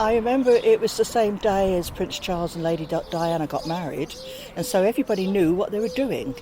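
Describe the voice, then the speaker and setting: A woman talks at a fairly quick pace in a medium pitch. Her intonation is lively, and background noise is noticeable. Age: 70s. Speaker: village resident. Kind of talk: street interview.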